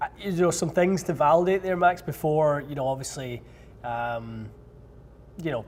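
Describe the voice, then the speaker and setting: Somewhat breathy, a man with a Scottish accent speaks at a moderate pace with ordinary pitch variation. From Scotland. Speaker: golf club fitter and show host. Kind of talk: live Q&A stream answering viewer questions. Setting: fitting studio.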